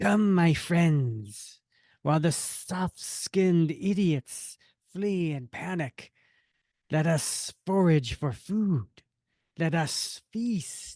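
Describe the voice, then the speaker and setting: A put-on character voice at a middle pitch moves at a very slow pace over a quiet background. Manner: menacing, gloating.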